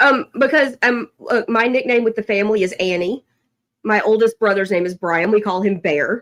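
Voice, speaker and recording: The speaker is a woman with a Southern accent. She talks at a moderate pace. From Tennessee. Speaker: podcast co-host. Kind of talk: casual chat.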